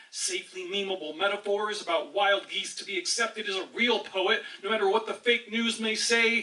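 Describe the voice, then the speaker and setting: An angry man's raised, projected voice, high in pitch and fairly quick, over noticeable background noise. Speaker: slam poet. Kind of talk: slam poetry performance. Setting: live audience. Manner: impassioned, angry.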